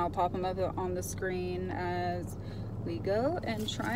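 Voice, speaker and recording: A woman speaks very slowly, with a dry sound, no echo and noticeable background noise. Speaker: vlogger. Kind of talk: casual vlog chat. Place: car. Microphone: phone near.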